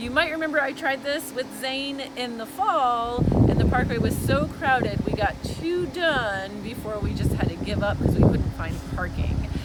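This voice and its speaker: A woman speaks at a high pitch with lively intonation and a moderate pace. Noticeable background noise and audible room echo fill the recording. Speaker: travel vlogger. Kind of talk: casual vlog narration. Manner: loud.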